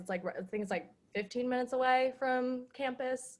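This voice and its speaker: A woman speaks with a slight Southern US accent. Her pace is moderate and her pitch varies an ordinary amount. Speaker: psychology student. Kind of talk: casual chat.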